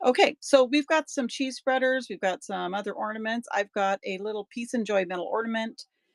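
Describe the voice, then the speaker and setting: A woman talks at a fairly quick pace in an ordinary speaking voice, fairly high in pitch with ordinary pitch variation. The very clean recording has a silent background and a dry, close sound with no echo. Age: 60s. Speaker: online auction seller. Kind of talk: live sales stream. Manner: casual, chatty.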